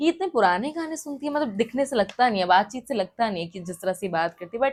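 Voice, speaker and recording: In a fairly high voice with an upbeat tone, a woman makes very wide pitch swings and big swings in loudness. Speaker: radio jockey and singer. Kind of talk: interview answer.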